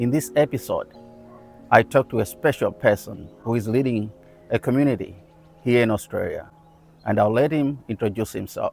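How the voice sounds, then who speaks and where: Music plays behind a man speaking at a medium pitch and moderate pace, with long, frequent pauses. The sound is dry and close with no echo, and his pitch varies in an ordinary way. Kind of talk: podcast host interview.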